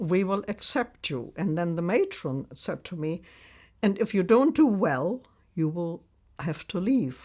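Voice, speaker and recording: In a German accent, a woman talks at a fairly slow pace with a medium pitch and very wide pitch swings. The recording is very clean, with a silent background. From Germany, Berlin. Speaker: war survivor, retired nurse. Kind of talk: testimony.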